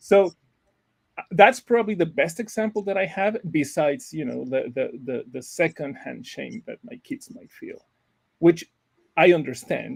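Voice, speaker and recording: A man speaks at a high pitch and a moderate pace, his pitch swinging very widely. His loudness rises and falls sharply, and the sound is dry and close with no echo. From Mexico. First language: Spanish. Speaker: researcher and university professor. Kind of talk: panel discussion. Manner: halting, many repetitions and fillers.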